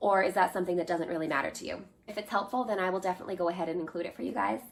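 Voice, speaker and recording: Speaking in an American accent, a woman uses a medium pitch with ordinary pitch variation. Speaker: homesteading vlogger. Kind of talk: product haul video. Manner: conversational.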